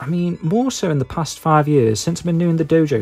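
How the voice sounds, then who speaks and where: A Stoke accent at a fairly quick pace, with music in the background. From England, Stoke-on-Trent area. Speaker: YouTuber, retro game collector. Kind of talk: casual monologue. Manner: hesitant, lots of ums and fillers.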